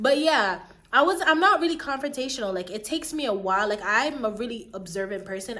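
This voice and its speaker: Over noticeable background noise, a woman talks at a fairly quick pace in a fairly high pitch, her tone animated and her pitch swinging very widely. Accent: American. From Jamaica. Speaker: YouTuber. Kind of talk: storytime vlog, casual chat. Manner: stumbling over words at times.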